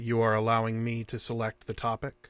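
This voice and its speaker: Using a put-on character voice, a man speaks at a fairly quick pace in a medium pitch with monotone, flat intonation. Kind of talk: stilted formal speech. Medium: audio drama. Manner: formal, detached, repetitive.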